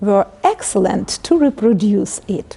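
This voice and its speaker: Speaking at a fairly slow pace, a woman has a Ukrainian accent. Her pitch is fairly high. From Ukraine. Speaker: literature professor. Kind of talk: interview. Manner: halting.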